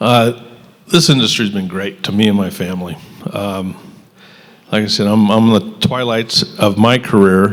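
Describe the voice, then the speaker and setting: A man talks at a moderate pace in a fairly low pitch, with ordinary pitch variation. He leaves long, frequent pauses, and background noise is noticeable. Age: 60s. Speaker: hardware retailer. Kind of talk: panel discussion.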